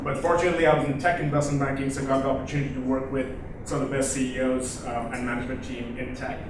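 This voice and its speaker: A man's fairly high pitch varies in an ordinary way amid noticeable background noise and audible room echo. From South Asia. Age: young. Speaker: venture capitalist. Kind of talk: conference pitch talk. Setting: stage with audience. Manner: hesitant, many fillers.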